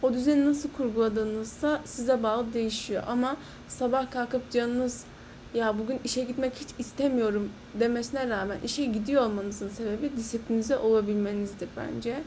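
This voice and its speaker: Here is an ordinary speaking voice from a woman at a fairly high pitch. Her pace is moderate and her intonation fairly even. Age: 20s. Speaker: podcast host. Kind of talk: solo monologue podcast.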